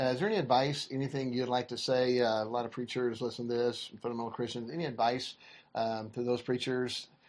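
A man at a medium pitch with an ordinary speaking voice, a fairly quick pace and fairly even intonation. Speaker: podcast host interviewer. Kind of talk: interview.

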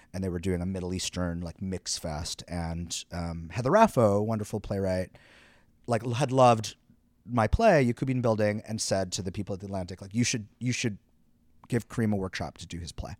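A man's fairly low voice at a fairly quick pace, a plain, everyday voice with ordinary pitch variation, on a very clean recording against a silent background. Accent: Canadian. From Quebec, Canada. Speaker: playwright and director. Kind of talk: interview. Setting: theater venue.

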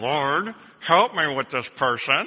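Strained and full of lively intonation, the speech is delivered in a put-on character voice. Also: man. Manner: through clenched teeth, strained and grudging.

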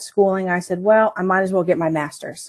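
A woman with an unremarkable speaking voice and an American accent talks at a medium pitch with ordinary pitch variation. The background is quiet. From Northern Virginia. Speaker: accounting manager. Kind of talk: interview.

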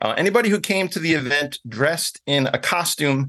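A man with an American accent speaks at a moderate pace, his fairly high pitch and bright, sharp tone carrying lively intonation over a quiet background. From New York City (Bronx). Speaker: glamping business owner. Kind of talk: interview. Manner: hesitant, repeats words.

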